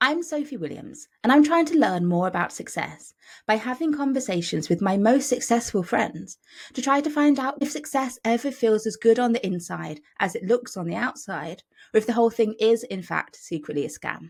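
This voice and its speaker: In a British accent, a woman speaks at a moderate pace with a fairly high pitch. Her voice has vocal fry and very wide pitch swings. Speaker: podcast host. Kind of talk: scripted introduction; casual interview chat. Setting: remote recording.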